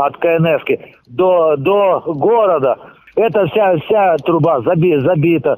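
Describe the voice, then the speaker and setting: A man speaks at a very slow pace in a high pitch with ordinary pitch variation. His loudness stays very even. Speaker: pumping station chief. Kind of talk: interview. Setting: phone call. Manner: halting.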